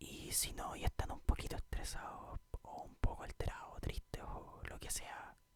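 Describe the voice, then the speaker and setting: A man whispers at a fairly slow pace. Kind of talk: casual greeting to viewers.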